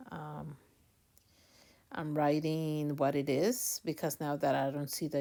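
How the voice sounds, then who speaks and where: A woman's very deep, low voice in a non-native accent, monotone and flat, at a moderate pace, in a very clean recording with a silent background. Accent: non-native accent, noticeable. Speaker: online reseller youtuber. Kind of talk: packaging tutorial vlog. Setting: at home late at night. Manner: hesitant with many fillers.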